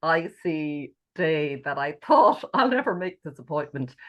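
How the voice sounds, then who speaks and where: Over a quiet background, a woman speaks at a moderate pace in a fairly low pitch with ordinary pitch variation, a plain, everyday voice. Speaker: podcast host. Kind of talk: podcast interview.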